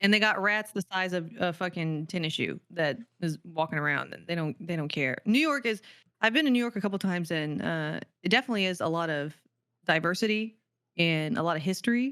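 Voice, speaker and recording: Fairly low in pitch, a woman speaks in an animated tone with lively intonation. The recording is very clean, with a silent background. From Texas, big city. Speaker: streamer and content creator. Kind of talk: casual podcast chat. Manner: fast.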